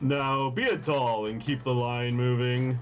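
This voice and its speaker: A put-on character voice delivers lines fairly slowly in a flat monotone. Background noise is clearly audible. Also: man, medium pitch for a man. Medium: game stream. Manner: smarmy, brisk.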